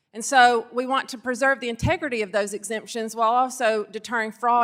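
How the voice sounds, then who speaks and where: Speaking at a fairly quick pace with hardly any pauses, a woman with a Southern US accent has a fairly high pitch and fairly even intonation. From Arkansas. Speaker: state securities regulator. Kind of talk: congressional hearing testimony.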